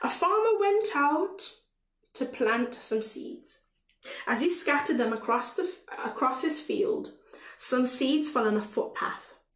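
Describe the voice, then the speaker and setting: The speaker, with a Caribbean accent, moves through very wide pitch swings at a fairly slow pace. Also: woman. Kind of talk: prayer and preaching-style talk. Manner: halting, with fillers and repetitions.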